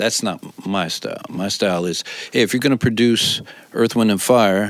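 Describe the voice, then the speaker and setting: An unremarkable speaking voice with an American accent, ordinary pitch variation and a moderate pace. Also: man, fairly low pitch for a man. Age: 60s. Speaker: music producer and songwriter. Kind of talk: interview.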